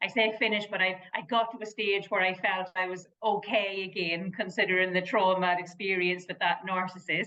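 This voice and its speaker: A woman with a strong Irish accent at a fairly quick pace. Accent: Irish lilt, kept strong. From Ireland. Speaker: motivational speaker and therapist. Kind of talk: interview.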